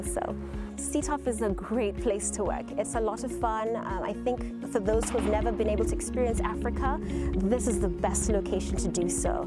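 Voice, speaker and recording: Against loud background music, a woman talks at a fairly quick pace, the sound dry with no echo. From Nairobi, Kenya. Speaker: army officer. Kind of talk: interview answer. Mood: warm, upbeat. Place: open country.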